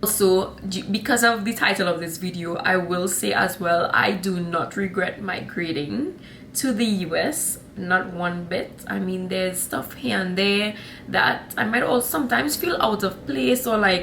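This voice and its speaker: A woman with a Trinidadian accent talks at a moderate pace with lively intonation and medium pitch, her voice carrying audible room echo. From Trinidad and Tobago. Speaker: vlogger. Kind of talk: casual vlog talk. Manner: animated.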